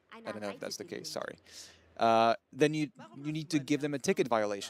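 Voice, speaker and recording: Here a man is talking. He has a non-native accent. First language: not English. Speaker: livestream show host. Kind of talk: live showcase commentary. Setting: livestream. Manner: hesitant, many fillers.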